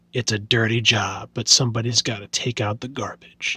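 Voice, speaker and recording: This man puts on a character voice that is raspy and gravelly. He speaks at a moderate pace and a medium pitch. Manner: gruff.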